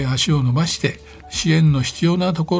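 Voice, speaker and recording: With music in the background, a man talks in a fairly high pitch with lively intonation. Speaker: NGO chairman. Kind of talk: radio interview. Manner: hesitant, many fillers; polite formal.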